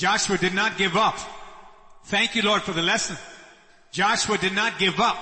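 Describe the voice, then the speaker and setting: A man speaks at high pitch in a monotone, flat intonation with very even loudness and a moderate pace. He leaves long, frequent pauses over noticeable background noise. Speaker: worship or service leader. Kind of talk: leading giving and prayer. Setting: church.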